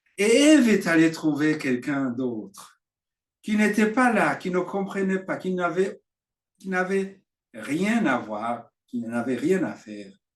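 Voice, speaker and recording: With a Burundian accent, a man speaks very slowly at a high pitch, his pitch swinging very widely. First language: Kirundi (speaking French). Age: 60s. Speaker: preacher. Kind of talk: sermon. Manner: halting.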